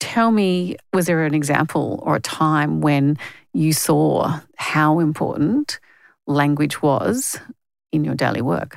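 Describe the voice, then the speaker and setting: A woman with an Australian accent speaks at a very slow pace. Her very deep, low voice holds very even loudness. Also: ordinary pitch variation. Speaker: podcast host, journalist and founder.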